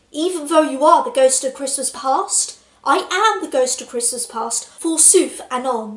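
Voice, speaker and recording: Speaking at a moderate pace, a woman uses a put-on character voice. Her pitch is high. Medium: solo performance.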